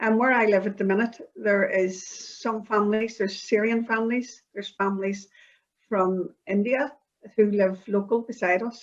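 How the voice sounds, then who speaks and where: With a Belfast accent, a woman speaks at a moderate pace in a fairly high pitch and fairly even intonation. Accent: Belfast Northern Irish. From Northern Ireland (Belfast). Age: 60s. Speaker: community project participant. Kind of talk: interview.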